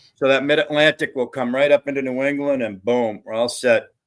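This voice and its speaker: A man with an ordinary speaking voice, fairly high in pitch, at a moderate pace with ordinary pitch variation, on a very clean recording against a silent background. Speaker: panel guest. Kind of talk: casual chat.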